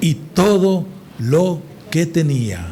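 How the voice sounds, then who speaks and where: With a high pitch and lively intonation, a man talks over noticeable background noise while audible room echo surrounds his voice. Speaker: preacher. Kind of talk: sermon. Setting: church service with congregation. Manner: deliberately slow today.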